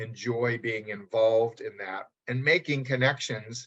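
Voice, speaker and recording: A man talks at a fairly slow pace and medium pitch. His voice is somewhat breathy. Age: 60s. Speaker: publishing company president. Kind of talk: interview. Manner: hesitant, many fillers.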